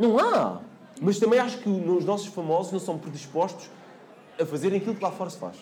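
A man's high-pitched voice at a fairly quick pace, with long, frequent pauses, ordinary pitch variation, audible room echo and noticeable background noise. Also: big swings in loudness. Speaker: TV reporter and MC. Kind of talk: casual chat.

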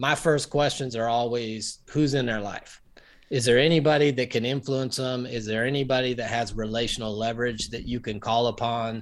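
This man's voice has a medium pitch with ordinary pitch variation. His pace is moderate. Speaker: pastor and marriage counselor. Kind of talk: interview. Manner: calm, comforting.

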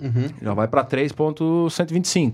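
Fairly high-pitched male voice with a dark, mellow tone and lively intonation. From Santa Catarina, Brazil (Ibirama). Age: 30s. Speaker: businessman and amateur racing driver. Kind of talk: casual interview chat.

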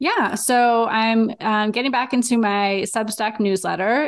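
Ordinary pitch variation with an American accent, over a quiet background. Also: woman. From Los Angeles. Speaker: dietitian and writer. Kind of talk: interview conversation.

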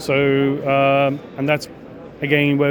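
A man with a Czech accent speaks at a fairly slow pace in a fairly high voice. Noticeable noise sits in the background. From Czech Republic. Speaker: equipment company executive. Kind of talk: interview. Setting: trade show. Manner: halting.

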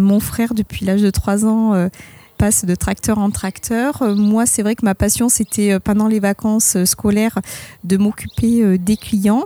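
The woman's tone is dark and mellow, her intonation fairly even. She speaks at a fairly slow pace in a dry, close sound with no echo. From Bordeaux region, France. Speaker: winemaker. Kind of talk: testimony.

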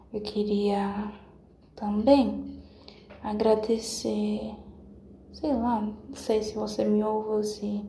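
A woman speaks at a very slow pace with long, frequent pauses, with audible room echo and noticeable background noise around her. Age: 20s. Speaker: podcaster. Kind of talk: casual monologue. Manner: halting.

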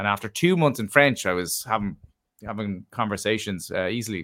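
A bright, sharp tone in an Irish accent, at a fairly quick pace with ordinary pitch variation, in a dry, close sound with no echo. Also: man. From Ireland. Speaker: travel writer and adventurer. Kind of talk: casual interview chat.

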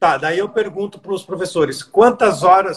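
A man with a high pitch, lively intonation and a moderate pace. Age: 30s. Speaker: fitness coach and podcast host. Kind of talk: casual interview. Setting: live stream.

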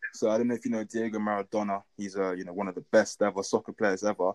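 In a London accent, a man speaks at a very fast pace with a fairly low pitch and monotone, flat intonation, the sound dry and close with no echo against a quiet background. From London, England. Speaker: athlete. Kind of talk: interview.

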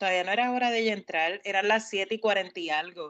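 A woman's ordinary speaking voice, an ordinary speaking voice with fairly high pitch and lively intonation, over a quiet background. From Puerto Rico. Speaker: podcast co-host. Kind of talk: casual chat.

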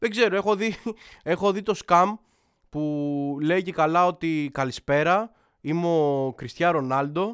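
Animated male voice on a very clean recording with a silent background. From Athens, Greece. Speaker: podcast host. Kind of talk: casual monologue.

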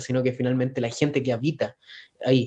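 A man with a Chilean accent, medium pitch, monotone and flat intonation. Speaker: podcast co-host. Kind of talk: casual chat. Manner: halting.

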